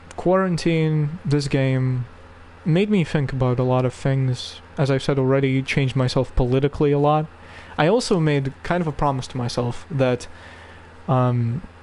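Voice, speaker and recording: A man's fairly high voice at a moderate pace with ordinary pitch variation, over noticeable background noise. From Russia. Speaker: video game streamer. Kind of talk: live stream commentary. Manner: casual, hesitant with fillers.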